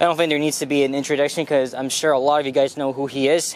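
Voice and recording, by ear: A man speaks with a fairly high pitch.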